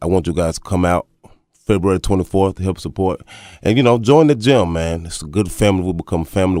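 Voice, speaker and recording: Very deep and low, a man's voice with a Southern US accent and a dark, mellow tone moves at a fairly quick pace with ordinary pitch variation, on a very clean recording with a silent background and a dry, close sound with no echo. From Texas. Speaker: amateur boxer. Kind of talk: radio interview.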